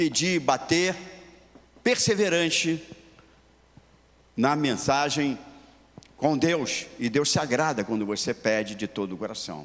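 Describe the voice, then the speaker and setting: The speech moves at a very slow pace, broken by long, frequent pauses. Its intonation is lively. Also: man, fairly high pitch for a man. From Rio de Janeiro, Brazil. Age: 80s+. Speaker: pastor. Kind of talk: sermon.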